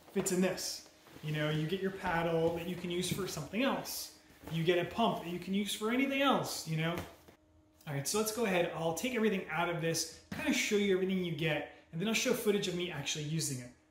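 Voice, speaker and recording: Audible room echo and light background noise surround a man whose high pitch and ordinary pitch variation come at a very fast pace. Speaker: product reviewer. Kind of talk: casual product review. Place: home room.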